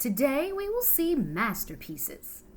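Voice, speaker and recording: Putting on a character voice, a woman speaks fairly slowly at a high pitch, with very wide pitch swings. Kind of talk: bedtime story. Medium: read story.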